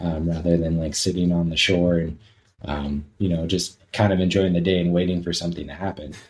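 Very deep and low, a man's voice comes in an American accent. He talks fairly quickly in a monotone, flat intonation. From Southern California. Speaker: outdoor gear business owner. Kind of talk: casual interview chat.

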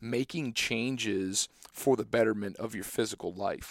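A man with an American accent talks in an unremarkable speaking voice at a moderate pace and medium pitch, with ordinary pitch variation. The sound is dry and close with no echo. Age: 20s. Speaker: podcast host, agronomist. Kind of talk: casual interview chat.

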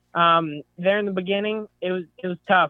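A man with a Texan accent at a moderate pace. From Northeast Texas. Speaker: hunter. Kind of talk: casual chat.

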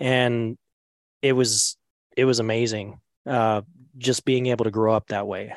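In a medium pitch, a man talks with monotone, flat intonation. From Montana. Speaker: elk caller and combat veteran. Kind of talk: casual interview.

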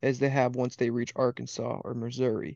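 At a moderate pace, a man talks in an Upper Midwest accent. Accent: Upper Midwest (Wisconsin). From Wisconsin. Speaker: waterfowl hunting guide. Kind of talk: casual chat.

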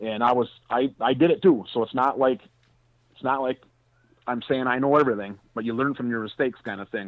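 At a fairly quick pace, a man speaks in a normal speaking voice of medium pitch with ordinary pitch variation. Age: 40s. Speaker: hunting and land management expert. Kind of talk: interview.

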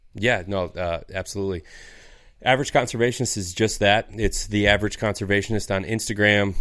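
A man with a Michigan accent speaks at a moderate pace in a fairly low, monotone voice with flat intonation, in a very clean recording with a silent background. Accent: Upper Midwest US (Michigan). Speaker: outdoors podcast host. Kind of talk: casual chat.

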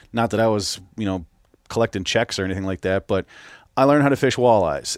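A man with a Minnesota accent, medium pitch and ordinary pitch variation, on a very clean recording with a silent background. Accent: Minnesota, upper Midwest. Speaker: podcast host. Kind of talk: casual interview chat.

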